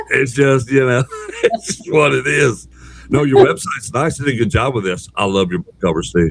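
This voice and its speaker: A man talks at a fairly quick pace with a Southern US accent and very wide pitch swings. Background noise is noticeable. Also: medium pitch for a man. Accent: Southern twang. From Texas. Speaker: podcast host. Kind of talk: interview.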